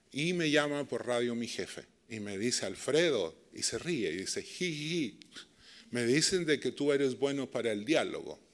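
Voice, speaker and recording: A man at a fairly high pitch with a Chilean accent, ordinary pitch variation and a moderate pace. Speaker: dialogue and peace practitioner. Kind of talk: lecture. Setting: stage with audience.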